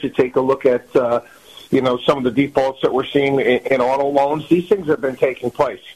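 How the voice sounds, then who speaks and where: A man is speaking here with fairly high pitch. His pace is fairly quick. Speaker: financial commentator. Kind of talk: interview on markets. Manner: hesitant, filler-heavy.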